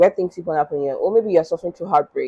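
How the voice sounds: A woman talks with a dark, mellow tone and a slightly husky edge.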